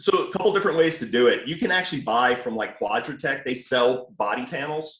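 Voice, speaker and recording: A man talks with a fairly high pitch and lively intonation. He has a slight Southern US accent. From New Orleans, Louisiana. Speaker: off-road hobbyist. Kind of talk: casual chat. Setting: call.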